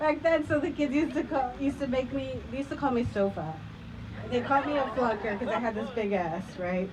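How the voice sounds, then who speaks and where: Her voice high-pitched and her intonation lively, a woman talks at a fairly quick pace amid noticeable background noise and audible room echo. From Chicago suburbs, Mexican-American family. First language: Spanish. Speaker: storyteller. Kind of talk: personal storytelling on stage.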